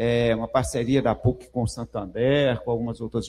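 At a moderate pace, a man talks in a somewhat breathy voice with a dark, mellow tone. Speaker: university professor, event moderator. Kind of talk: event introduction. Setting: stage with audience. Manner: halting.

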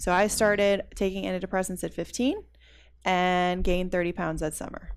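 This woman's pitch is medium, her intonation monotone and flat. The background is silent on a very clean recording. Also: moderate pace. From US South. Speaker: fitness enthusiast who reversed diabetes. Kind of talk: interview conversation.

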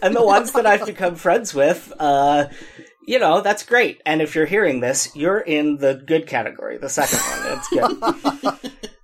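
A man speaks at a moderate pace with a high pitch and very wide pitch swings. Noticeable background noise runs under his voice. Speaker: podcast host. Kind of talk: casual banter, comedic chat.

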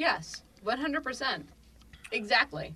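A woman with a high-pitched voice speaks in a raised, projected way. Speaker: emergency medicine physician. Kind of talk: casual chat.

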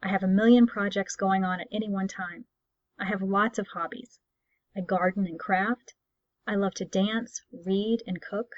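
A woman with an American accent talks at a moderate pace and medium pitch, her intonation fairly even, in a dry, close sound with no echo. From Texas. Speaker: podcast host, writer. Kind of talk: scripted-style podcast introduction. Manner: clear, enunciated, formal.

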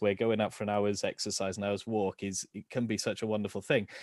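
A man of medium pitch with a South Wales accent, in a dry, close sound with no echo. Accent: South Wales (Valleys). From Wales, Rhondda Valleys. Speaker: education quality assurance professional and photographer. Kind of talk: casual interview chat. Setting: video call. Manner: halting, repeats words.

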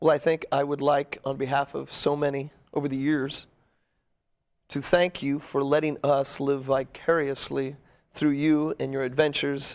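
Over a very clean recording with a silent background, a man talks at a moderate pace in a fairly high pitch with monotone, flat intonation. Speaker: talk show host. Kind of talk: casual interview chat. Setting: studio.

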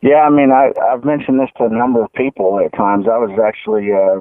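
The man talks at a moderate pace, his pitch varying in an ordinary way. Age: 50s. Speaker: golf course architect. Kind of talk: interview. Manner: halting, many fillers.

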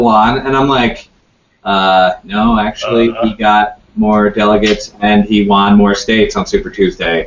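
Using a normal speaking voice, a man talks at a fairly slow pace with lively intonation. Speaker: panelist. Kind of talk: casual panel discussion on politics.

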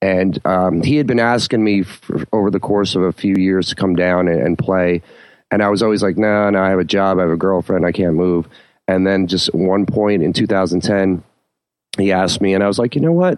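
With a New Jersey accent, a man talks at a fairly quick pace in a very deep, low pitch, keeping fairly even intonation and very even loudness. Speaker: bass player. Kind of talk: casual chat.

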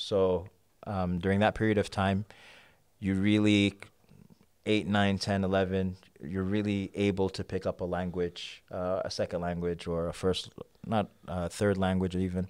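A man with a New York accent speaks at a moderate pace in a very deep, low voice with monotone, flat intonation, on a very clean recording with a silent background. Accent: New York American. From New York (Queens). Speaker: poet. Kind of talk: casual chat.

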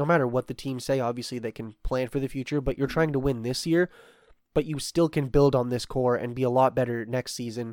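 A plain, everyday voice moves at a fairly quick pace with fairly even intonation. The recording is very clean with a silent background, the sound dry and close with no echo. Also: man. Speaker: baseball podcast co-host. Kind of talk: casual sports discussion.

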